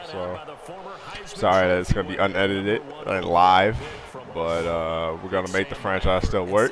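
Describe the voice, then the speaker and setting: A man's fairly low voice at a moderate pace, with noticeable background noise. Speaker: gamer streamer. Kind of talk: casual talk to camera.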